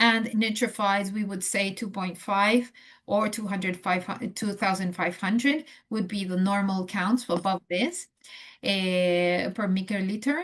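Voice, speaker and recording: A woman speaks fairly slowly in a somewhat breathy voice with fairly even intonation. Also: medium pitch for a woman. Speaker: transplant nurse educator. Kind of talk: lecture. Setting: video call. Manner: halting, many fillers.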